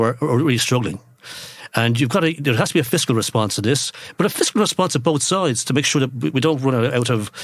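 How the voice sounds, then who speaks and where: Talking at a very fast pace, a man with an Irish accent keeps a medium pitch. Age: 60s. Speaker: economist. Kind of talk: interview. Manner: halting.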